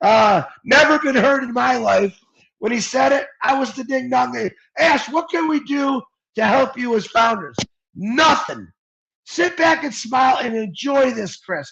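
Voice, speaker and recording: Bright and sharp, a man's extremely high voice carries lively intonation and an animated tone at a fairly slow pace. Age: 50s. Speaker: network marketing promoter. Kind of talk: motivational pitch on a livestream.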